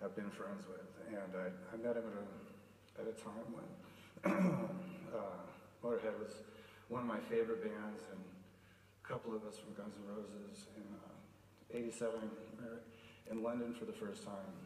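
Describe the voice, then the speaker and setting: A man at a fairly slow pace, with ordinary pitch variation, audible room echo and light background noise. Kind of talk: eulogy speech. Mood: emotional, hesitant, fond. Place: hall. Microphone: podium.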